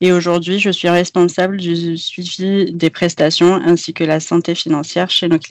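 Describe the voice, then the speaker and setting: A woman with a normal speaking voice talks at a fairly slow pace and a fairly low pitch, with fairly even intonation. The sound is dry and close with no echo, over a quiet background. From Algeria, Béjaïa. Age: 30s. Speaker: IT project manager. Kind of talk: podcast interview.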